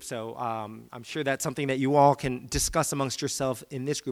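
In a normal speaking voice with an American accent, the speaker keeps a moderate pace on a very clean recording with a silent background. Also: man. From Virginia, US. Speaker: guest speaker, academic. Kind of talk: sermon-style talk. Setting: church stage with audience.

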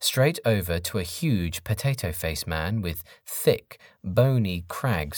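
Lively intonation in a natural reading voice

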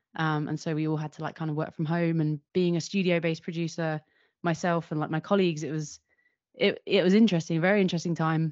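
A woman with a London accent talks at a very fast pace. Her pitch is fairly low and her intonation monotone and flat. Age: 30s. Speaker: video producer and director. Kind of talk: interview conversation.

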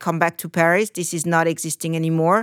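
A woman speaks with a French accent in a dry, close recording with no echo. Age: 50s. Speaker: trend forecaster. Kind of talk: interview. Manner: halting.

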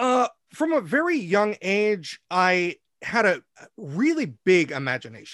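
A man talks with an American accent and very wide pitch swings. The sound is dry and close with no echo, on a very clean recording with a silent background. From US Pacific Northwest. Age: 40s. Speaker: stage actor and singer. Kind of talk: casual interview. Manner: halting, many fillers.

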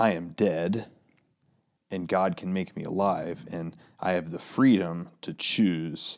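On a very clean recording with a silent background, a man with an American accent speaks very slowly at a very deep, low pitch. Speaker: pastor and podcast co-host. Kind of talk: casual chat. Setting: studio.

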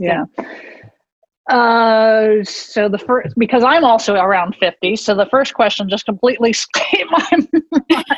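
A woman with an unremarkable speaking voice talks at a fairly high pitch and fairly slow pace, with lively intonation and very even loudness. The sound is dry and close, with no echo. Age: 50s. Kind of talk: interview.

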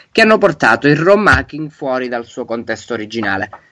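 This man has a medium pitch and a bright, sharp tone with lively intonation. The recording is very clean, with a silent background. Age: 20s. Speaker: game designer and ROM hacker. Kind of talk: interview.

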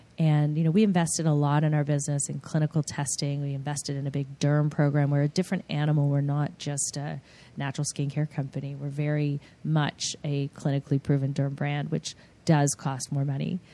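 With an American accent and a very deep, low voice, a woman talks at a fairly quick pace in a dark, mellow tone and monotone, flat intonation against a quiet background. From US, suburbs of New York and Los Angeles. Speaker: skincare company CEO. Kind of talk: interview.

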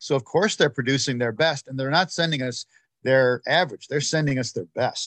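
A man with an ordinary speaking voice talks at a fairly quick pace, fairly high in pitch. His pitch variation is ordinary, and the sound is dry and close with no echo. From United States (born in Ireland, emigrated very young). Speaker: sports association president. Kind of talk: interview.

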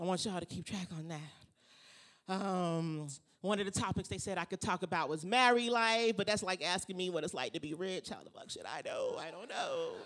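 Animated in tone, the speaker keeps a moderate pace with hardly any pauses. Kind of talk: stand-up comedy set, playing the crowd like a club comic. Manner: animated, bantering with the audience, punchy jokes, crowd-work energy.

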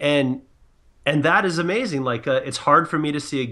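This man has an American accent and a bright, sharp tone. His pitch rises and falls in an ordinary way against a quiet background. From San Diego, California. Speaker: sports podcast guest. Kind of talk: casual panel discussion.

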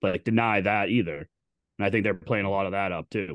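A man with an unremarkable speaking voice talks at a fairly quick pace in a fairly low pitch over a quiet background. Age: 30s. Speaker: sports podcast co-host. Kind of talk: casual chat. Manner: profane, bantering.

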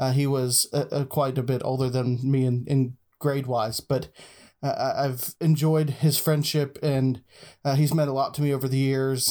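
Over a very clean recording with a silent background, a man with an American accent speaks at a medium pitch in a dark, mellow tone with monotone, flat intonation. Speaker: friend of the host. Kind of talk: casual discussion. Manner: halting, many fillers.

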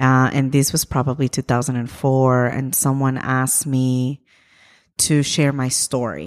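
Flat, monotone speech from a woman with a very deep, low pitch, very even loudness, and a dry, close sound with no echo. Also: fairly slow pace. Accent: Spanish. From Ecuador. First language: Spanish. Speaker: immigrant rights activist. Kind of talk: interview. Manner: halting, many fillers.

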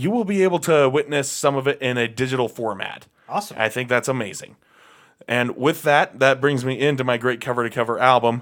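A man with a normal speaking voice talks at a medium pitch with ordinary pitch variation. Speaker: punk radio show co-host and band vocalist. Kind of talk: casual chat. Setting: studio.

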